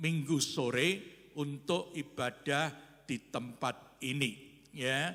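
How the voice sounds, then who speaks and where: This man's voice sits fairly high in pitch, moving at a very slow pace with ordinary pitch variation. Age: 70s. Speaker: pastor. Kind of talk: church announcements. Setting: church.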